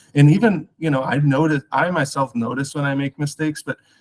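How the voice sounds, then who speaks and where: A man at a moderate pace and fairly high pitch, in a dry, close sound with no echo. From US Midwest, Chicago. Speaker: guest expert, research scholar. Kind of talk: online interview on language learning. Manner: casual with many fillers.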